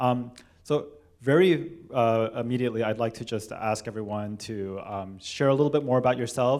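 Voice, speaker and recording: At a moderate pace, a man with a Californian accent speaks at medium pitch with ordinary pitch variation. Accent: General American, California. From Los Angeles, California (Korean American). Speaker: cellist and panel moderator. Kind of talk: moderated panel discussion. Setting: church hall with live audience. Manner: hesitant, many fillers.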